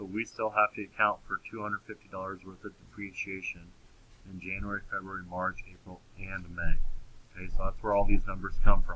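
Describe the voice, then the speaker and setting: A man's fairly low, flat, monotone voice at a fairly quick pace, with big swings in loudness. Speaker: accounting teacher. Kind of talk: recorded lecture. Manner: halting, with many fillers.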